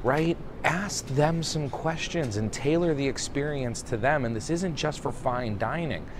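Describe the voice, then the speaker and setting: A man's fairly high-pitched, fairly slow voice with ordinary pitch variation, audible room echo and noticeable background noise. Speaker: restaurant consultant. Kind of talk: casual video monologue. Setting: airport. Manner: quiet.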